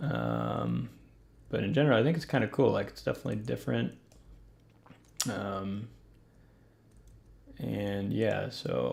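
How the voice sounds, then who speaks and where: A man talks at a moderate pace with vocal fry, his fairly low pitch making very wide swings. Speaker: event design live streamer. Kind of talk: casual live stream commentary. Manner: low-energy, hesitant with fillers.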